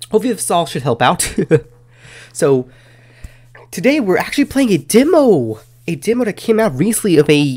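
The speaker moves at a fairly quick pace, the pitch swinging very widely. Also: man. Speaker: gaming video host. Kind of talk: casual gaming commentary. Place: home room. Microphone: studio mic.

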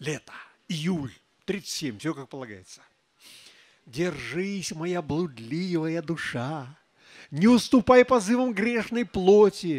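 A man's high-pitched voice with very wide pitch swings, at a very slow pace, over a quiet background. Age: old. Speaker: poet. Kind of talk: poetry reading. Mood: wry, humorous. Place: stage. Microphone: handheld.

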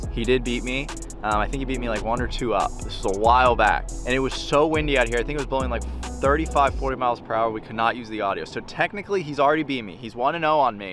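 A man talks at a very fast pace with hardly any pauses. The sound is dry with no echo, and music is clearly heard in the background. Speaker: golf vlogger host. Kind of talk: casual vlog chat. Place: open country.

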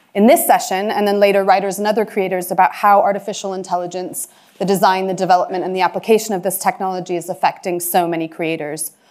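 A woman talks at a very fast pace with fairly even intonation. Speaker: panel chair. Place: hall.

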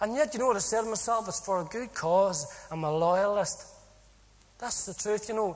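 With a Northern Irish accent, a man speaks at a moderate pace. His pitch is high, with ordinary pitch variation. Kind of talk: testimony.

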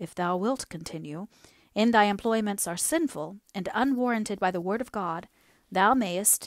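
An unforced reading voice carries the words.

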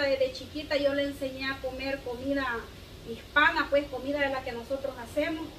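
Light background noise sits behind a woman speaking at a moderate pace in a high pitch. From El Salvador. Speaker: video blogger. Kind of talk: cooking vlog. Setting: home kitchen. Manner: casual and chatty. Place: kitchen.

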